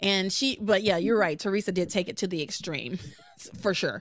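A woman is heard against a quiet background with a dry sound that has no echo. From US South. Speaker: podcast host. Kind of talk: casual chat. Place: home room. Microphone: studio mic.

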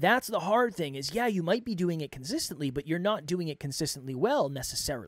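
A man with a high pitch talks at a fairly quick pace, with lively intonation and hardly any pauses. The sound is dry with no echo, and the background is quiet. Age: 30s. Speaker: podcast coach and host; podcast coach, host. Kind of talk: solo monologue. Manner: off the cuff, unscripted. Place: studio. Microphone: studio mic.

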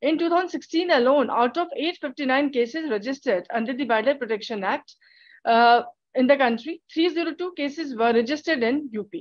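Over a quiet background, a woman with a high pitch talks at a moderate pace with lively intonation. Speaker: PhD student; conference presenter. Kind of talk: conference presentation. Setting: video call. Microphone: video call.

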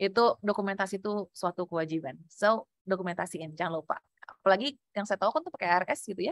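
A woman's animated, very fast speech with ordinary pitch variation, dry with no echo, over a quiet background. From Indonesia. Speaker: public speaking trainer; workshop trainer. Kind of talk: workshop lecture. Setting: video call. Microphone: video call.

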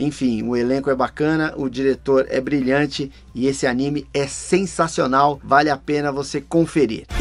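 The speech runs on with hardly any pauses. Its intonation is monotone and flat. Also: man, moderate pace. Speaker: voice actor channel host. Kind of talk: casual review commentary. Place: home room.

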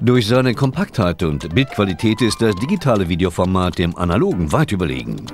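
Music plays behind a man whose very deep, low voice swings very widely in pitch. He barely pauses and keeps his loudness very even. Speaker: narrator. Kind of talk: corporate promotional narration. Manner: exaggerated pronunciation of English terms.

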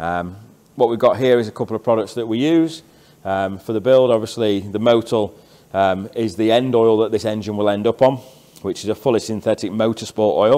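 This man speaks at a fairly quick pace. His pitch varies in an ordinary way. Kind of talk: tutorial walkthrough. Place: workshop. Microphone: phone near.

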